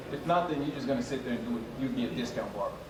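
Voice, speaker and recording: There's noticeable background noise and audible room echo as a man talks very fast with ordinary pitch variation. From Nigeria, moved to US at nine. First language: French or Nigerian language. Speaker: barber. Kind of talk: panel talk to an audience.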